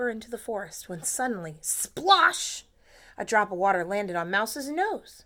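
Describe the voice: The speaker does plain reading aloud with lively intonation.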